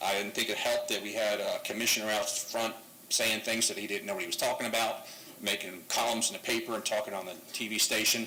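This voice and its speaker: Talking at a very fast pace, a man is heard with audible room echo and noticeable background noise. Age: 60s. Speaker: public commenter at council meeting. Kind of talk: public comment. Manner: halting, filler-heavy.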